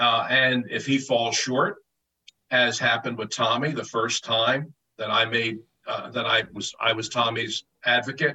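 This is a man speaking with an American accent. His pitch sits in the medium range. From Philadelphia. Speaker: sports journalist. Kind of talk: interview.

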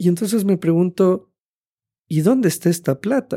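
The man's voice is high in pitch and varies in an ordinary way as he talks. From Ecuador. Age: 30s. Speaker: podcast co-host. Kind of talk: casual chat.

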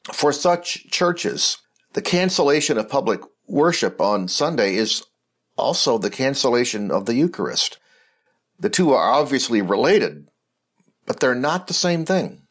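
A man with a fairly high pitch and vocal fry talks at a moderate pace, his loudness very even but his pitch swinging very widely. Long pauses come often, against a quiet background. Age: 60s. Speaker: Episcopal bishop. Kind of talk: reflective talk or homily.

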